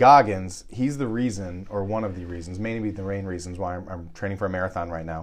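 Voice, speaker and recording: In a room with audible echo, a man with a very deep, low pitch speaks at a fairly quick pace, with hardly any pauses and ordinary pitch variation. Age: 40s. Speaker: podcast host. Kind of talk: casual chat.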